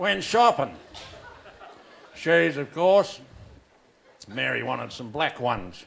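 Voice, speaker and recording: Noticeable background noise behind a man speaking fairly unhurriedly. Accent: Australian. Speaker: stand-up comedian. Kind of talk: stand-up comedy set. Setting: live venue.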